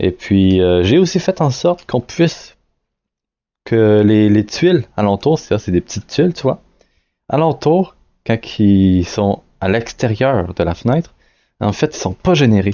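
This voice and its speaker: Very wide pitch swings in a Quebec accent, a fairly slow pace, and long, frequent pauses. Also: man, fairly low pitch for a man. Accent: Québécois French accent, noticeable. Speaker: indie game developer. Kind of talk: devlog screen-recorded tutorial. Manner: hesitant, many fillers and restarts; casual.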